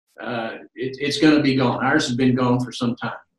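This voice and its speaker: The intonation stays fairly even throughout. There is audible room echo against a quiet background. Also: man. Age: 60s. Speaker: medical alert company representative; presenter. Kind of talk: interview. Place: home room. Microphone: webcam.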